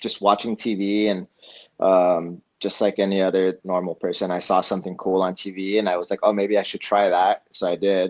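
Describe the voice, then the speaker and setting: A man with a West Coast accent speaks at a moderate pace and fairly low pitch. His intonation is monotone and flat, over a quiet background. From Eugene, Oregon, US Pacific Northwest. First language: Spanish. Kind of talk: podcast interview. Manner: casual, with many fillers.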